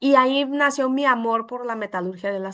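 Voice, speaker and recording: A woman with a Brazilian accent and a high pitch, against a quiet background. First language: Portuguese (speaking Spanish). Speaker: welding metallurgy consultant. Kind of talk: webinar presentation.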